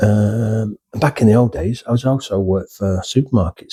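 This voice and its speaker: A man with a northern English accent, fairly low in pitch and somewhat breathy, with a dark, mellow tone and a fairly slow pace, in a dry, close, echo-free, very clean recording over a silent background. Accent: northern English drawl. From northern England. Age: old. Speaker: retired YouTuber, former nurse. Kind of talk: casual vlog monologue. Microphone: cheap USB microphone.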